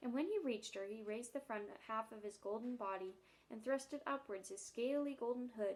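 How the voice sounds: The recording features a natural reading voice.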